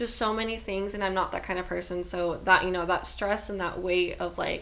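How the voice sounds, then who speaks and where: A woman in a flat monotone, with audible room echo. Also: medium pitch for a woman. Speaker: podcast co-host. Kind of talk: casual chat. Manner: loud.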